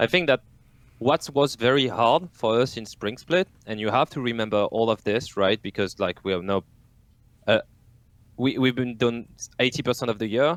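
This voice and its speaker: Over a silent background on a very clean recording, a speaker with a French accent leaves long, frequent pauses in a dry, close sound with no echo. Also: man, medium pitch for a man, ordinary pitch variation, moderate pace. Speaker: esports team coach. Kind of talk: casual podcast chat.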